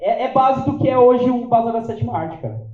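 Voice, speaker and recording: A man with a São Paulo accent at a fairly quick pace, with audible room echo. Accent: Paulistano Brazilian Portuguese. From São Paulo, Brazil (south zone). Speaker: event organizer and interviewer. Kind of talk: live event talk to audience. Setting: stage with audience. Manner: casual, halting with fillers.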